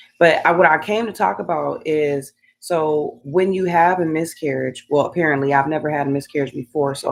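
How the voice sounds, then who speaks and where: At a moderate pace, a woman talks in a very deep, low voice with ordinary pitch variation. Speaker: beauty and scalp care vlogger. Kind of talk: livestream personal story. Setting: live stream at home. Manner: halting, stumbling over words.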